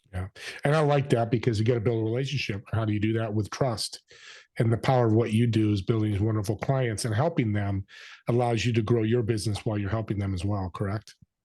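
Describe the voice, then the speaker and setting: A man's very fast, somewhat breathy speech with a dark, mellow tone and fairly even intonation against a quiet background. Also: medium pitch for a man. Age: 60s. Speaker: podcast host. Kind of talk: interview. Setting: video call.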